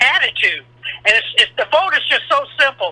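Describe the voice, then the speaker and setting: A man talks over noticeable background noise. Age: 60s. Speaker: caller, military veteran. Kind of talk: call-in opinion.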